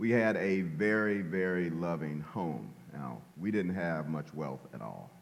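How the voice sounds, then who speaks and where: Over noticeable background noise, a man with an American accent and a very deep, low voice talks fairly slowly with lively intonation. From Louisiana, US South. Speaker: retired police officer. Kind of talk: conversational interview, testimony. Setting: church.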